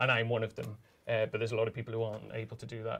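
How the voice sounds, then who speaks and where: Words come out of this man at a very fast pace. There is a somewhat breathy quality to his voice. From northern England. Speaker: journalist and author. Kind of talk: live interview. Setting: stage with audience. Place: hall.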